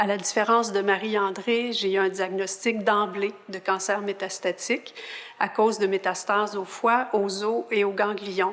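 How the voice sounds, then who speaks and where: Over noticeable background noise, a woman speaks at a fairly slow pace with medium pitch and fairly even intonation. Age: 60s. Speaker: patient partner. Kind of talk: interview introduction.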